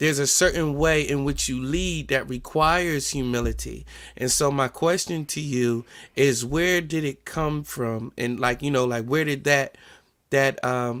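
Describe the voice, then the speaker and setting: A man with an American accent speaks at a fairly slow pace, his fairly high voice held to a fairly even intonation, on a very clean recording with a silent background. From New Jersey. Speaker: podcast host. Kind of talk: casual podcast interview.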